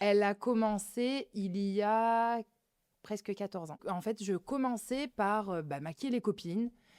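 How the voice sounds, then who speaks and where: A woman with an unremarkable speaking voice talks at a fairly slow pace, medium pitch and ordinary pitch variation. The recording is very clean with a silent background, and the sound is dry and close with no echo. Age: 30s. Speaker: beauty clinic owner. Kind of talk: interview. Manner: casual, many fillers.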